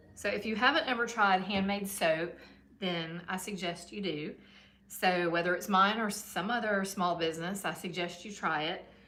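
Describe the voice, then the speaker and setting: Medium-pitched woman's voice with a Southern US accent, moderate pace and ordinary pitch variation, amid noticeable background noise and audible room echo. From US South, Georgia. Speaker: soap maker, small business owner. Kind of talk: casual livestream chat while working. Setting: her shop, live stream. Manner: casual, with fillers and hesitations.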